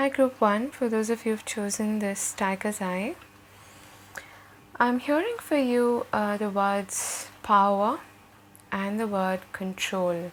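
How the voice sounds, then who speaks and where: Soft-spoken and very slow, the voice has ordinary pitch variation and long, frequent pauses. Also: woman, fairly high pitch for a woman. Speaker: tarot reader. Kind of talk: tarot reading.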